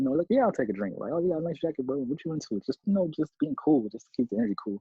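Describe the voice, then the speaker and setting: Racing along at a very fast pace, a man talks at a fairly high pitch with very wide pitch swings. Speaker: reaction video co-host in military barracks. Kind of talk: casual chat on phone while reacting to video. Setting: phone call from shared barracks room. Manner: kept quiet to not disturb roommate.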